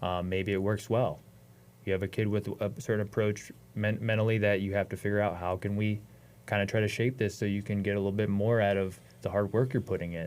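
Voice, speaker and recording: In an American accent, the speaker talks at a fairly quick pace with flat, monotone intonation. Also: man, fairly low pitch for a man. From Ohio, US Midwest. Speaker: wrestling coach. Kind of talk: podcast interview.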